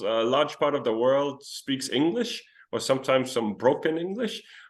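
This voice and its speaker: With lively intonation, a man speaks in a Danish accent. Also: quiet background. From Denmark. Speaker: traveler. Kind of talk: interview.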